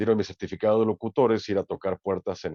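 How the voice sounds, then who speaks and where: A man's medium-pitched voice with a dark, mellow tone, recorded with a dry, close sound and no echo. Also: quiet background. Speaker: sports announcer and commentator. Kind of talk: interview answer. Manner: casual, conversational.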